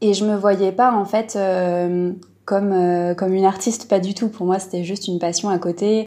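A woman of medium pitch talks at a fairly slow pace in a dark, mellow tone. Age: 20s. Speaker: illustrator. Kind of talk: casual interview. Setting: remote call.

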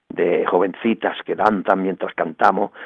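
A man with a fairly low voice talks at a moderate tempo. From Andalusia, Bay of Cádiz (El Puerto de Santa María). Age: 60s. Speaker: evangelical pastor. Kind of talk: radio interview testimony.

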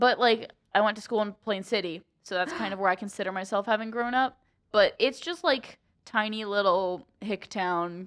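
At a moderate pace, a woman with a Midwestern American accent speaks at a medium pitch. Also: ordinary pitch variation. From central Ohio. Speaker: college student podcaster. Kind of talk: casual chat.

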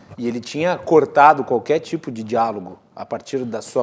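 A man's unremarkable speaking voice, medium in pitch, with ordinary pitch variation. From Rio Grande do Sul, Serra Gaúcha (Farroupilha). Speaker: TV talk show host. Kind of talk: political debate moderation. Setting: TV studio.

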